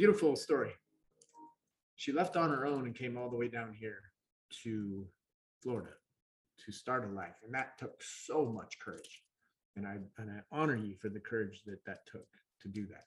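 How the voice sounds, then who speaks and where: A man with an American accent and a medium-pitched, somewhat breathy voice, ordinary pitch variation, big swings in loudness, a moderate pace and long, frequent pauses. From Montana, US. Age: 40s. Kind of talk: casual live-stream chat. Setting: live stream at home, sitting next to co-host.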